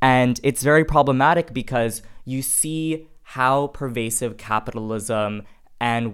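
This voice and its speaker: A man with an American accent has a plain, everyday voice and speaks at a fairly slow pace with ordinary pitch variation. The recording is very clean, with a silent background. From US, Indian American family. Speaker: graduate student in politics. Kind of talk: panel discussion.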